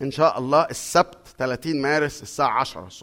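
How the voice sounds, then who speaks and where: A man with an ordinary speaking voice and fairly high pitch speaks at a moderate pace. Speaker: pastor. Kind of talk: sermon.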